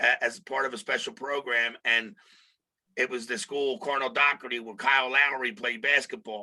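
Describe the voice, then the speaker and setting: A man with a Philadelphia accent talks at a moderate pace in a medium pitch, with a bright, sharp tone and ordinary pitch variation. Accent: Philly. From Philadelphia, US. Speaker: podcast co-host. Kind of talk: casual interview chat.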